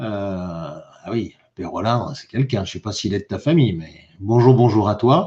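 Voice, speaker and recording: The background here is quiet. A man talks with lively intonation. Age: 60s. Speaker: YouTuber live streamer. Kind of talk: live stream chat reading comments. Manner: animated; halting, repetitive.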